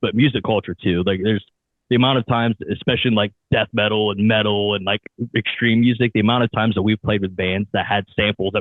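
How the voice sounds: With an Ohio accent, a man talks fairly quickly at a fairly low pitch and with fairly even intonation. The sound is dry and close, with no echo. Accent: American, Ohio.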